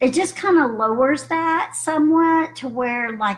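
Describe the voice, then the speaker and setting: A woman speaks in a somewhat breathy voice. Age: 60s. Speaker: health practitioner. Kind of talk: webinar recap talk. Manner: casual, hesitant with fillers.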